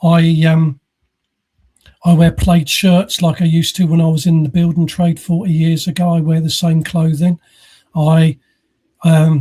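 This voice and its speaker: A man with an English accent talks at a moderate pace in a high-pitched voice with a dark, mellow tone. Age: 60s. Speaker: podcast host. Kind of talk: casual chat. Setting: live podcast recording.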